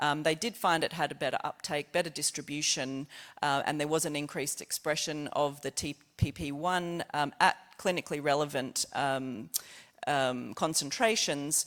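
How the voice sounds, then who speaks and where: Someone with an Australian accent is heard on a very clean recording with a silent background. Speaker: scientist presenting research. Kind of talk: conference presentation. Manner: fast; halting.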